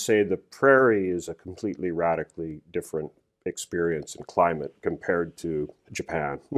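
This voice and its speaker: Very deep, low male voice with a Western Canadian accent, moderate pace and a quiet background. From Canadian prairies (Alberta, Saskatoon). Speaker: corporate lawyer. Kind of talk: interview.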